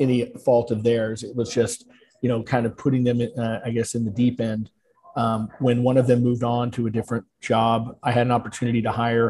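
A man's somewhat breathy, dark and mellow voice, monotone and flat, at a fairly quick pace. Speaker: podcast guest, lawyer. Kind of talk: interview answer. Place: home room. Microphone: video call.

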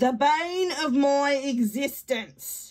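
A woman puts on a high-pitched character voice. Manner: dry, grumpy, curt.

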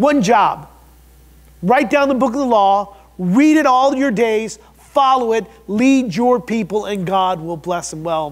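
A man with an American accent talks at a fairly slow pace in a high pitch. His intonation is lively, and the background is quiet. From US Midwest. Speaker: pastor. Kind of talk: sermon. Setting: church. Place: church. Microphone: lapel.

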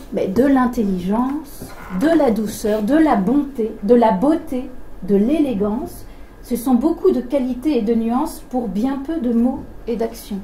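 Noticeable background noise sits behind a woman speaking at a very slow pace. Her pitch is high, with ordinary variation. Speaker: event co-moderator. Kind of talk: reading aloud. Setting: stage with audience.

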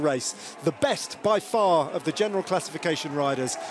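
Lively intonation and an animated tone from a man, over noticeable background noise. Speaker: race commentator. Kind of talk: sports commentary. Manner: fast, punchy race-recap delivery; animated, urgent.

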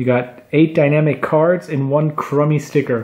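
Here a man speaks at a fairly slow pace. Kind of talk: casual unboxing commentary. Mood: cheerful, pleased. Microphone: camera far.

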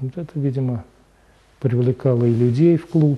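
A man speaks at a fairly slow pace with fairly even intonation. His tone is dark and mellow with a slightly husky edge.

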